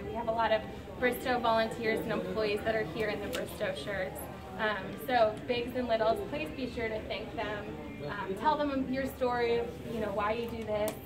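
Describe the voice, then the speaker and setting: Clear music plays behind a woman. She speaks at a moderate pace. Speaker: charity staff host. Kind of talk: welcome speech. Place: hall. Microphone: camera far.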